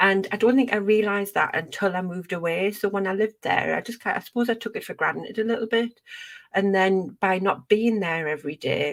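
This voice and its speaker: With a Geordie accent, a woman talks fairly quickly at a medium pitch, with ordinary pitch variation. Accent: gentle Geordie. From northern England, Northumberland near Newcastle. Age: 40s. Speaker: podcast host. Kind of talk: casual chat.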